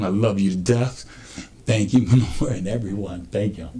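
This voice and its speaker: At a fairly quick pace, a man talks with ordinary pitch variation in an ordinary speaking voice. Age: 60s. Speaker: community member in recovery. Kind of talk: testimony.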